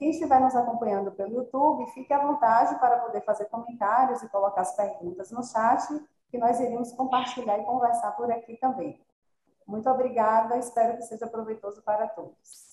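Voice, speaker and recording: A woman with a normal speaking voice talks at a fairly quick pace and a fairly high pitch. Her intonation stays fairly even while her loudness swings widely. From Salvador, Bahia, Brazil. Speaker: physiotherapist. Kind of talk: online panel discussion. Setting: video call.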